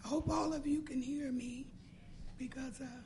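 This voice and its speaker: In an American accent, a woman talks at a moderate pace and a high pitch. Audible room echo surrounds her voice. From US Midwest, Cincinnati, Ohio. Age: 60s. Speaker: patient telling her story. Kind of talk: personal testimony. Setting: roundtable meeting with audience. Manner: halting.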